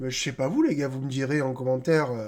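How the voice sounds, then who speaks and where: A man's rather high voice moves at an unhurried, somewhat slow tempo. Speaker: football YouTuber. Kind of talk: casual football match debrief. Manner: soft-spoken; casual, hesitant with fillers.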